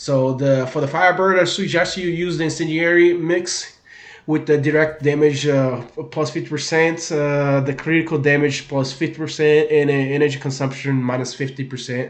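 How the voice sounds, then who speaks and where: A man with a strong Brazilian accent, fairly high in pitch, at a moderate pace with fairly even intonation, amid audible room echo. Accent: thick Brazilian. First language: Portuguese. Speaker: gaming video creator. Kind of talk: gaming tutorial. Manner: hesitant, many fillers and repeats.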